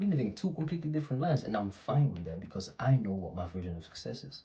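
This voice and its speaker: A soft-spoken man talks at a fairly quick pace, his tone dark, mellow, and somewhat breathy. His pitch swings very widely. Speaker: motivational vlogger. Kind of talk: casual motivational monologue. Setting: at home. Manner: casual, slangy. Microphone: poor microphone quality.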